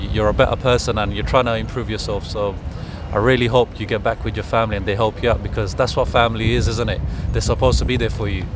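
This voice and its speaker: Noticeable background noise sits under a dry recording that has no echo. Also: man. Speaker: street interviewer. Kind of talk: interview questions. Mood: gentle, sympathetic. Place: street.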